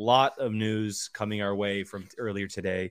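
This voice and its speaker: Here a man with an unremarkable speaking voice and a fairly low pitch talks at a moderate pace. The intonation is fairly even, in a very clean recording with a silent background. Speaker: show host. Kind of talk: casual chat. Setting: live video stream.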